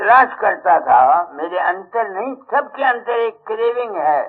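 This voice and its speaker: A man talks with lively intonation in a high voice. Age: 80s+. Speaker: spiritual teacher. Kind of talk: sermon. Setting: satsang gathering with audience.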